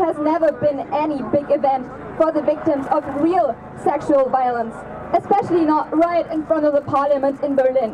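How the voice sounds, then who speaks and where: A woman with ordinary pitch variation speaks fairly quickly against noticeable background noise. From Germany. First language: German. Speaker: activist. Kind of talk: rally speech.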